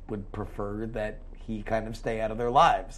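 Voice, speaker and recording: A man speaks at a moderate pace and medium pitch in a monotone, flat intonation. His voice carries audible room echo. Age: 30s. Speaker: podcast co-host. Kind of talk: casual chat.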